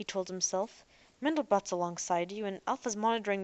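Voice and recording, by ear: In a natural voice, the text is read aloud, its pitch varying in an ordinary way.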